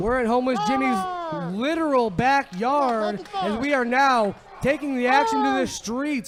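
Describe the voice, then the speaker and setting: Extremely high male pitch with lively intonation, a fairly slow pace and hardly any pauses, over noticeable background noise. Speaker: wrestling commentator. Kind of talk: play-by-play commentary.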